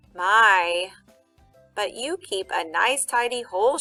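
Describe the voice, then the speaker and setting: A woman's squeaky, put-on character voice, medium in pitch and fairly slow, with music in the background. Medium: read story.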